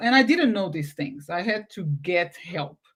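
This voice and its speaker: With a Portuguese accent, a woman speaks at a moderate pace in a somewhat breathy voice with very wide pitch swings, in a very clean recording with a silent background. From Portugal. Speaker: podcast host. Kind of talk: casual interview chat. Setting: live video stream. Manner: halting.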